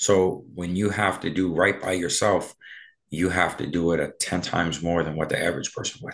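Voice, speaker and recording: A man's very deep, low voice at a moderate pace, with fairly even intonation and a quiet background. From Halifax, Nova Scotia (North End, Africville). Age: 40s. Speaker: DJ and club promoter. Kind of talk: casual interview.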